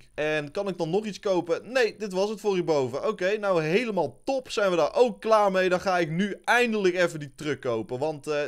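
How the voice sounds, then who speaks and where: A man talks at a moderate pace with lively intonation. He hardly pauses, and the background is quiet. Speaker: gaming youtuber. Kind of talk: gameplay commentary.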